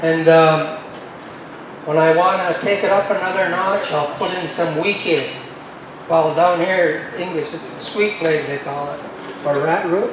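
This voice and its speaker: A man's high-pitched voice at a fairly slow pace, with fairly even intonation, long, frequent pauses, and noticeable background noise. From Mississaugas of the New Credit First Nation, Ontario, Canada. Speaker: First Nations elder, herbal plant knowledge keeper. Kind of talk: festival talk to audience.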